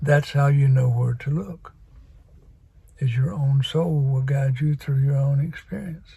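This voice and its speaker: A somewhat breathy man with a dark, mellow tone, fairly high pitch, fairly even intonation and a fairly slow pace. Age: 80s+. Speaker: spiritual vlogger. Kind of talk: casual monologue. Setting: video recording.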